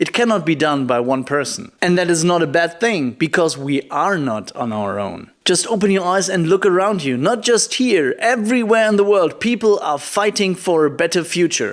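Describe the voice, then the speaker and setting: A man talks at a high pitch with lively intonation, a moderate pace and hardly any pauses. Noticeable background noise sits behind him. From Germany. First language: German. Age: 20s. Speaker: poetry slammer and climate activist. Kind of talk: prerecorded video keynote. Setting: recorded remotely in Germany.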